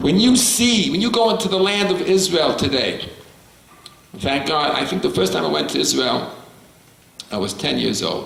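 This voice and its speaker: With noticeable background noise and audible room echo, a man in a New York accent talks at a moderate pace with long, frequent pauses. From US Northeast, New York City (Bronx). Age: 70s. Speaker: rabbi. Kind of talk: lecture.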